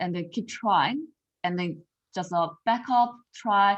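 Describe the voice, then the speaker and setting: Here a woman speaks with a Korean accent. Her pitch is medium, with ordinary variation. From South Korea. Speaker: confidence coach. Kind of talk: podcast interview. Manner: halting.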